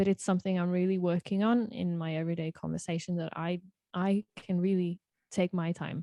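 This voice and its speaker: In a very clean recording with a silent background, a woman with a British accent speaks in a dark, mellow tone with monotone, flat intonation. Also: dry, close sound with no echo. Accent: British-sounding English. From Norway. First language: Norwegian. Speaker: singer-songwriter. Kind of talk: podcast interview. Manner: halting.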